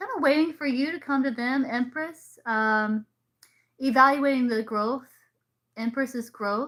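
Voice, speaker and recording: A woman with an American accent talks at a fairly slow pace in a high pitch with ordinary pitch variation. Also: very clean recording, silent background. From US South, South Carolina. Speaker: tarot reader. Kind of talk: live stream reading. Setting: live stream.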